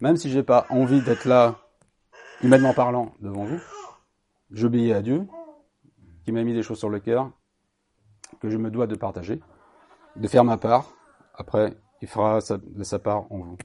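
With a dark, mellow tone at medium pitch, a man talks at a fairly slow pace with ordinary pitch variation, big swings in loudness and long, frequent pauses. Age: 50s. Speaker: lay preacher. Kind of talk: sermon. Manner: halting.

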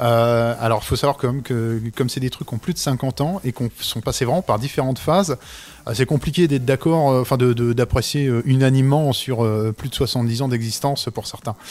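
A man with an unremarkable speaking voice at a medium pitch, moderate pace and ordinary pitch variation. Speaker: comic book author. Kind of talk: casual chat. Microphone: too far from mic at first.

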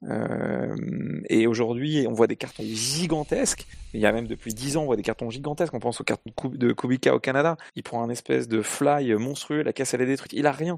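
A plain, everyday voice from a man at medium pitch, a fairly quick pace and ordinary pitch variation, in a dry, close sound with no echo. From Paris, France. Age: 30s. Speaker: racing driver and driver coach. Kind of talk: casual panel discussion.

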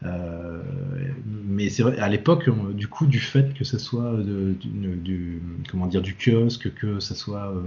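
Noticeable background noise surrounds a man speaking at a very slow pace. His fairly low voice has lively intonation. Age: 40s. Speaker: comics translator and editor. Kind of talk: casual chat.

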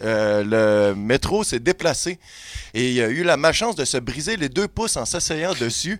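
Fairly slow speech comes from a man at a fairly high pitch. His pitch swings very widely. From Quebec, Montreal. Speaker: comedy podcast columnist. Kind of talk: humorous storytelling. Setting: studio.

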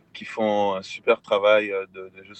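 The voice belongs to a man. Background noise can be noticeably heard. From Quebec, Montreal. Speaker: music collective member. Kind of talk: interview.

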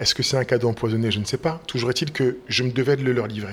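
With fairly even intonation, a man talks very fast. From Paris region, France. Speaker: school director and stage author-actor. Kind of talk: interview.

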